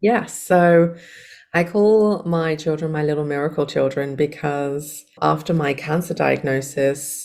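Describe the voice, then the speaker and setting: With an English accent, a woman speaks in a very deep, low pitch. Her pace is fairly slow and her pitch variation ordinary. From England. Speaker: life coach and hypnotherapist. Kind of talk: podcast interview.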